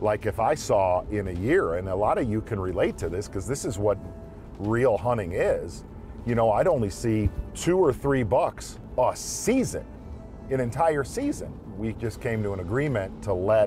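A man's voice, dry with no echo, over faint background music. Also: moderate pace. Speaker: show host. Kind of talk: casual reflective talk. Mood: reflective, slightly frustrated. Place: car.

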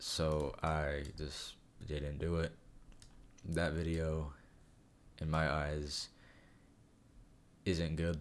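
Speaking very slowly, a man with a very deep, low voice keeps a monotone, flat intonation and leaves long, frequent pauses. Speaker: YouTuber. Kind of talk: casual talk to camera. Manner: hesitant, stuttering, many fillers.

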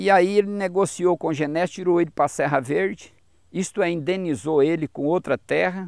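At a moderate pace, a man speaks in a high pitch with ordinary pitch variation, the sound dry with no echo and the background quiet. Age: 50s. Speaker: gold miner; interviewee. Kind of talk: interview. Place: garden.

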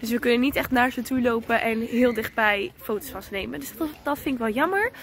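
A woman speaks at a fairly quick pace in a high pitch with ordinary pitch variation. The sound is dry with no echo, under light background noise. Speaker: vlogger. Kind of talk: casual vlog chat. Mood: cheerful. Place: open country. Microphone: phone near.

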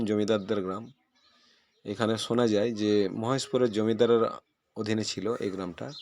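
A man speaks in a normal speaking voice at a medium pitch, on a very clean recording with a silent background. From West Bengal, Birbhum district. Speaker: village vlogger. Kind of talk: travel vlog narration.

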